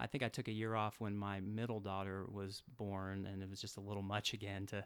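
A man with an American accent and a fairly low pitch, at a moderate pace, on a very clean recording with a silent background. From US South (Atlanta, Georgia). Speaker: psychiatrist. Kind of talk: interview. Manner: halting, many fillers.

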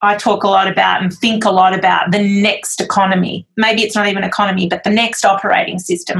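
With an Australian accent, a woman talks at a fairly quick pace and a medium pitch. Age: 40s. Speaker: magazine publisher and editor. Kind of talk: interview conversation.

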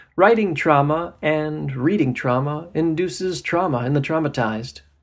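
With an American accent, a man speaks at a moderate pace in an ordinary speaking voice with fairly high pitch, captured on a very clean recording against a silent background. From New Jersey and Florida. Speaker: novelist and poet. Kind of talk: reading aloud.

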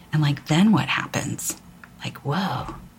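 A woman speaks at a fairly slow pace with a very deep, low pitch. Her voice is somewhat breathy. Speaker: spiritual podcast host. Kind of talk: spiritual talk. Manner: halting.

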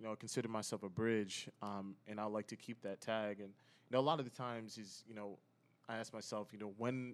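A man with an American accent talks at a fairly quick pace in a fairly low pitch with fairly even intonation. It is an unremarkable speaking voice. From Connecticut / New York area. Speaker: entrepreneur, community founder. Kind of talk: casual chat.

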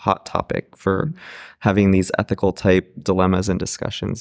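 Recorded very cleanly against a silent background, an ordinary speaking voice moves at a moderate pace in a dry, close sound with no echo. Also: man. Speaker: podcast host. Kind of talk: panel discussion, moderated. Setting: live at conference.

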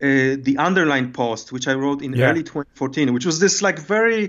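A man is speaking. He has a Polish accent. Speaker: designer and writer. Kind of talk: casual interview. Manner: halting.

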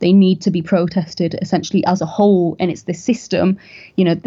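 In a North East England accent, a woman speaks with a fairly low pitch, a dark, mellow tone and fairly even intonation. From northern England, County Durham. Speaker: podcast host, political commentator. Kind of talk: interview.

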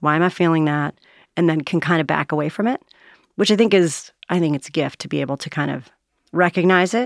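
A woman speaks in a normal speaking voice at a fairly low pitch with ordinary pitch variation. The sound is dry and close, with no echo. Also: very clean recording, silent background. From US, moved around (Navy family), summers in New Jersey. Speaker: author and change management consultant. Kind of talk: casual interview.

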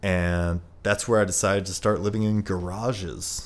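A man talks in a very deep, low voice with fairly even intonation. The recording is very clean, with a silent background. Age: 30s. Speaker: former grocery bagger turned property owner. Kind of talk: casual chat. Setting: home apartment.

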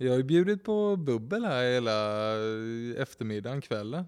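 With lively intonation, a man speaks at a moderate pace and a medium pitch. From Kalmar, Sweden. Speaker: real estate agent. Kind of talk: casual chat.

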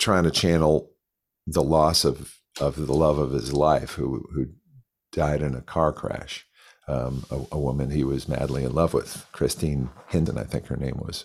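A man's very deep, low voice with vocal fry and an American accent, fairly slow and fairly even in intonation, on a very clean recording with a silent background. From Connecticut, US. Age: 60s. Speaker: guitarist and session musician. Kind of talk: casual interview, storytelling.

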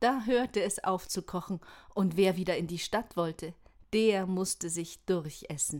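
In a very clean recording with a silent background, a woman with an ordinary speaking voice talks at a fairly slow pace, medium pitch and ordinary pitch variation. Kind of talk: bedtime story reading. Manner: calm, gentle storytelling pace; warm, inviting, expressive.

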